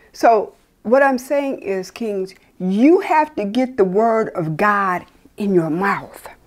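In a quiet setting, a woman speaks very slowly, her pitch swinging very widely. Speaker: preacher. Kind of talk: sermon. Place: home room.

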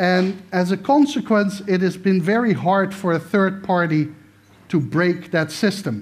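Holding very even loudness, a man with a high pitch talks at a fairly slow pace with ordinary pitch variation. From Netherlands. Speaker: political science professor. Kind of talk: lecture. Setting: stage with audience. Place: stage.

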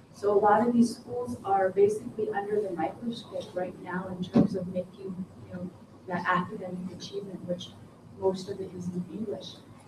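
Noticeable background noise sits behind the recording. A woman speaks with fairly even intonation. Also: moderate pace. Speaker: audience member, educator. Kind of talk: audience comment. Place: meeting room. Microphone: camera far.

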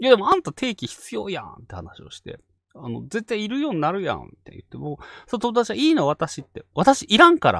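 Recorded with a dry, close sound and no echo, a man talks at a fairly quick pace with big swings in loudness. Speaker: ghost story channel host. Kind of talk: casual chat. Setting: online live stream.

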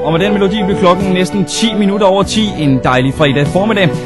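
Clear music plays in the background as a man talks at a fairly quick pace. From Denmark. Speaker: radio host. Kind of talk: radio presenter talking between songs. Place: studio. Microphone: studio mic.

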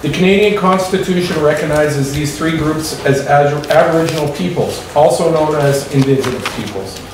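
A man's voice carries audible room echo and ordinary pitch variation. Light background noise is present. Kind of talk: formal meeting opening statement. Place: meeting room.

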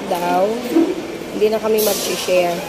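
The speech moves at a moderate pace over loud background noise. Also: woman. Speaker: food vlogger. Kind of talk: casual vlog chat. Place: market. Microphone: phone near.

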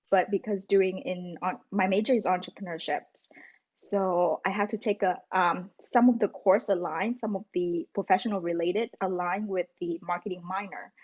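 A woman speaks in a Vietnamese accent with fairly even intonation. The background is quiet. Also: moderate pace. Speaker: student; podcast guest. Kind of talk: casual interview; interview answer. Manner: halting. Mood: friendly, smiling. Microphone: video call.

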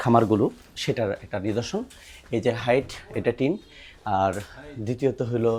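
Noticeable background noise runs beneath a man's voice. He speaks at a medium pitch with ordinary pitch variation. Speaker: veterinarian. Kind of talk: field vlog.

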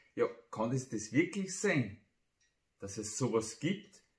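A man speaks at a very slow pace in a somewhat breathy voice, with audible room echo over a quiet background. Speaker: amateur poet. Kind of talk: humorous dialect poetry reading. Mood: humorous, playful. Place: home room.

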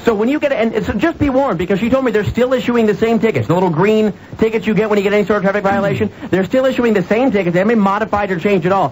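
A man with a high pitch talks at a very fast pace, his pitch varying in an ordinary way. Light background noise sits behind him. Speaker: radio show host. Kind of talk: radio talk show monologue. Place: studio. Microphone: studio mic.

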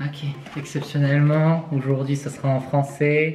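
Over light background noise, a man speaks at a fairly high pitch. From France. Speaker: student. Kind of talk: casual vlog talk to camera. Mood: playful, smiling. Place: kitchen.

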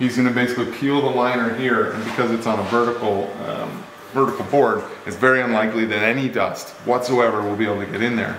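Very fast speech from a man, fairly even in intonation, with audible room echo and light background noise. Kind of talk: casual explanatory walkthrough. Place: garage. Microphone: phone near.

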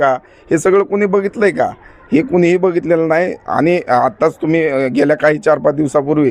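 A man with a high-pitched voice. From Baramati, Maharashtra, India. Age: 30s. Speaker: local election candidate. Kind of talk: interview.

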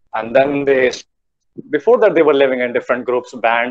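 Speaking at a fairly quick pace, a man talks with an Indian accent. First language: Hindi. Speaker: guest speaker, tourism alumnus. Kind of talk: online talk. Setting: video call. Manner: animated. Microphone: video call.

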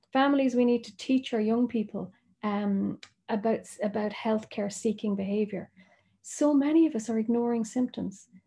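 A woman's fairly high, somewhat breathy voice with a dark, mellow tone, fairly even intonation and an Irish accent. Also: moderate pace. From Ireland. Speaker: doctor. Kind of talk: presentation.

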